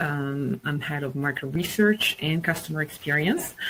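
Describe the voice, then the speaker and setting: Over noticeable background noise, a woman with a very deep, low pitch talks at a moderate pace with ordinary pitch variation. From Italy. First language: Italian. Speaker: market research executive and webinar speaker. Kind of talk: presentation.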